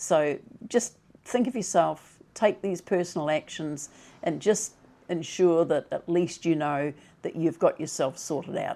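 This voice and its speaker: A woman with a New Zealand accent speaks at a fairly slow pace, her fairly low voice dark and mellow in tone. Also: ordinary pitch variation. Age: 70s. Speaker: retirement vlogger. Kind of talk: advice talk to camera.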